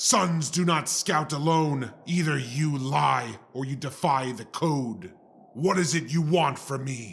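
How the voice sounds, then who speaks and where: A man's growling, put-on character voice, fairly high in pitch, at a fairly slow pace. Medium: audio drama. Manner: grave, formal, measured.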